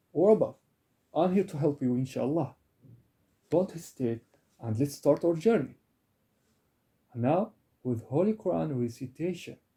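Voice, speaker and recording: With an Arabic accent, a somewhat breathy voice with a dark, mellow tone moves at a moderate pace, using lively intonation and long, frequent pauses. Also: man. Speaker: Arabic and Quran tutor. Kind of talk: self-introduction sales pitch.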